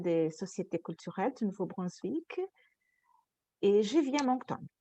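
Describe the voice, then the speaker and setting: A woman speaks with a Portuguese accent. Her tone is dark and mellow. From Brazil, Rio de Janeiro. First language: Portuguese (speaking French). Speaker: panelist, cultural organization worker. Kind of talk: panel discussion testimony.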